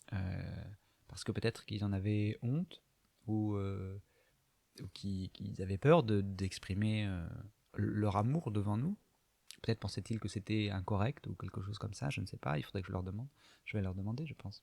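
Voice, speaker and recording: Recorded dry and close with no echo, a man talks at a moderate pace with ordinary pitch variation and long, frequent pauses. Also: very clean recording, silent background. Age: 30s. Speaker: video diarist. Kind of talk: personal confessional monologue. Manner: halting, many hesitations.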